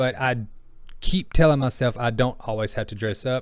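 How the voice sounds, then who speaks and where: The recording is very clean, with a silent background. A man at a medium pitch talks at a moderate pace with fairly even intonation. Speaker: content creator and writer. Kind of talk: casual vlog monologue.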